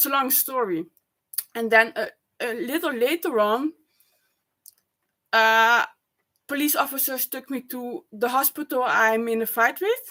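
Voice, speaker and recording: A loud woman with a bright, sharp tone and a high pitch speaks at a fairly slow pace with ordinary pitch variation and long, frequent pauses. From Netherlands or Flanders. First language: Dutch. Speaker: vlogger. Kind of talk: personal vlog monologue. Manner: halting.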